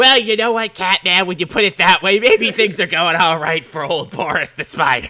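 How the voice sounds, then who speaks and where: Putting on a character voice, a man speaks at a high pitch and a moderate pace with hardly any pauses. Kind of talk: laid-back slacker talk. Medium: actual play. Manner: casual, rambling, filler-heavy.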